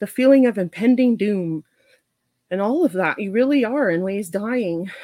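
A woman's ordinary speaking voice at a medium pitch and moderate pace, lively in intonation, with a dry, close sound and no echo. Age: 40s. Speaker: registered nurse. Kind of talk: casual chat.

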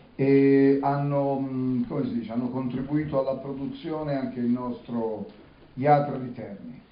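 At a fairly slow pace, a man talks with a fairly high pitch and ordinary pitch variation, with audible room echo around him. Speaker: interpreter. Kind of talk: live interpreting.

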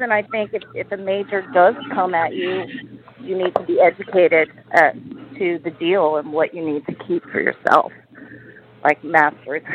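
Over noticeable background noise, a woman with an American accent speaks at a moderate pace with lively intonation. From US. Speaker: singer-songwriter. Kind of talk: radio interview. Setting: phone call.

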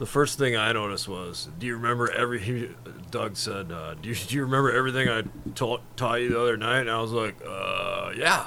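Speech comes at a fairly quick pace with ordinary pitch variation, audible room echo, and noticeable background noise. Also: man, medium pitch for a man. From Wisconsin, outside Milwaukee. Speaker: student teacher, guest co-host. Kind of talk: casual chat.

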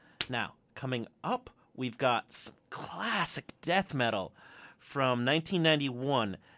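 In a very clean recording with a silent background, a man speaks at a very slow pace, the sound dry and close with no echo. His tone is bright and sharp, his intonation lively. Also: medium pitch for a man. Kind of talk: college radio DJ patter: back-announcing sets, plugging gigs and taking requests. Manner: casual, enthusiastic metalhead chatter with filler 'uh' and 'um'.

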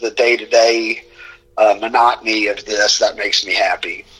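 Noticeable background noise can be heard throughout. Over it, a man speaks at a moderate speed. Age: 40s. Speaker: sports social media personality. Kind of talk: casual interview.

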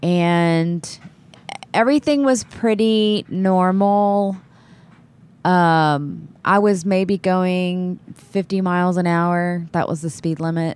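A woman speaks at a very slow pace with an American accent. Her pitch is medium, with ordinary pitch variation. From Texas Gulf Coast (Texas City). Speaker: filmmaker's wife and occasional actress. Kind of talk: casual storytelling chat.

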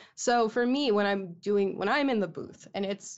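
A woman with a Midwestern American accent, medium pitch and ordinary pitch variation. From Michigan. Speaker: voice actress. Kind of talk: casual chat.

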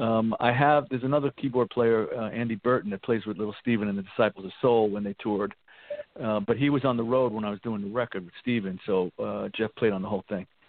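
Talking at a very fast pace, a man uses a medium pitch and fairly even intonation. He speaks with a New York accent. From New York, the Bronx. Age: 60s. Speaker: rock guitarist. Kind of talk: interview. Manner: halting.

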